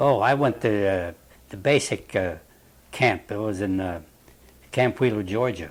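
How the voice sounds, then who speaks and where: Pausing long and often, a man with a Western Pennsylvania accent speaks fairly slowly at a fairly low pitch with ordinary pitch variation. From Wilmerding, Pennsylvania. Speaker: war veteran. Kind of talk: interview answer.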